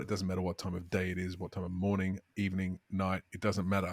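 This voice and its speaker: A man's very fast speech with an Australian accent and fairly low pitch, in a dry, close sound with no echo. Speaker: podcast co-host. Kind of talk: casual chat.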